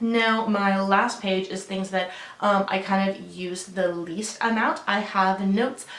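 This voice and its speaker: With audible room echo and noticeable background noise, the speech moves at a fairly slow pace with fairly even intonation. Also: woman, medium pitch for a woman. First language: Russian. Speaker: lifestyle vlogger. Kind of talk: casual vlog walkthrough. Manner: casual with frequent fillers.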